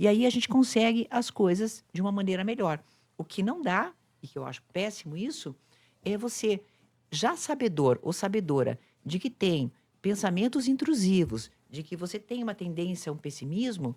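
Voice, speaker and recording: The woman's pitch swings very widely in a very clean recording with a silent background. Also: medium pitch for a woman, moderate pace. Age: 60s. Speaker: psychologist and influencer. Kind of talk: casual chat.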